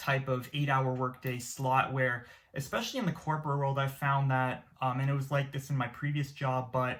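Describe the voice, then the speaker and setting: On a very clean recording with a silent background, a man with a fairly high pitch speaks at a moderate pace in a monotone, flat intonation. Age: 20s. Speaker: YouTuber. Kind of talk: casual vlog monologue. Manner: hesitant, many fillers.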